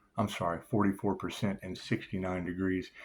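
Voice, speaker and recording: A man talks at a moderate pace. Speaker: tarot reader. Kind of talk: channeled tarot reading monologue. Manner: casual, freewheeling.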